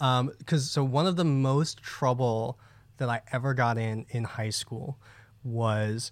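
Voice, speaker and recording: In a very clean recording with a silent background, a man with an American accent has a plain, everyday voice at medium pitch, speaking at a fairly slow pace with fairly even intonation. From New Jersey. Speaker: podcast co-host. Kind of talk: casual chat.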